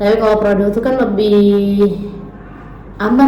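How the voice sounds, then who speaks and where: A woman speaks at a medium pitch and a moderate pace, in a relaxed tone with flat, monotone intonation. Noticeable background noise and audible room echo surround her. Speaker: radio announcer. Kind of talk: casual interview. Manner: relaxed, casual.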